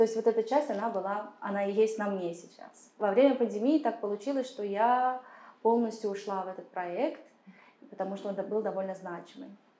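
With a normal speaking voice, a woman talks at a moderate pace and fairly high pitch, using ordinary pitch variation and big swings in loudness. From Kazakhstan. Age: 30s. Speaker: political consultant and activist. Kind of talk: interview. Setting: studio.

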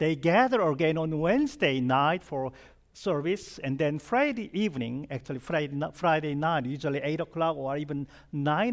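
A man with a Korean accent and a fairly high pitch speaks at a moderate pace with lively intonation, on a very clean recording with a silent background. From South Korea. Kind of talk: sermon.

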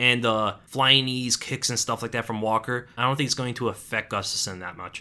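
At a moderate pace and with hardly any pauses, the voice has a bright, sharp tone and fairly even intonation. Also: man, medium pitch for a man. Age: 20s. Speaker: MMA podcast host. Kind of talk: casual solo commentary podcast.

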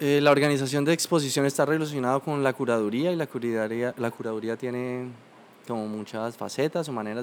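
This man talks at a very fast pace and a medium pitch. His intonation stays fairly even. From Colombia, Bucaramanga. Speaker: painter. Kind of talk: interview conversation.

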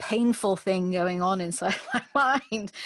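With a British accent, a woman talks at a medium pitch and ordinary pitch variation. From UK. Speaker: executive coach and recruiter. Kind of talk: casual interview conversation. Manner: hesitant, repeats words, talkative.

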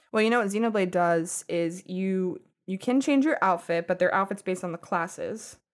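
A woman at medium pitch speaks at a moderate pace in an animated tone with ordinary pitch variation, recorded very cleanly against a silent background. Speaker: podcast host. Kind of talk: casual chat. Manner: animated, laughs a lot.

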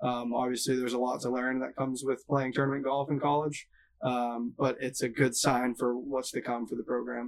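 The delivery is monotone and flat, at a moderate pace. It comes with an American accent. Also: man, medium pitch for a man. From Massachusetts. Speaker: college golf coach. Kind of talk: interview.

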